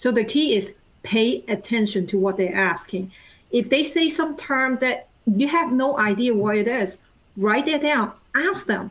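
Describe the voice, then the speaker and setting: At a fairly slow pace, a woman with a non-native accent and a fairly high pitch speaks with lively intonation and very even loudness, captured on a very clean recording with a silent background. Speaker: project manager. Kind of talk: panel discussion. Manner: talkative.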